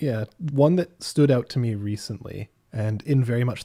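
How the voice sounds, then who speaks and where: In a very clean recording with a silent background and a dry, close sound with no echo, a man speaks at a medium pitch in a dark, mellow, somewhat breathy tone with ordinary pitch variation. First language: French. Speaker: gaming podcast panelist. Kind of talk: casual chat.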